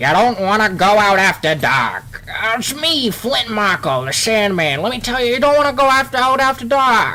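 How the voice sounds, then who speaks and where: Over light background noise, a man does a put-on character voice at a high pitch and a moderate pace. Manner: creepy, ominous.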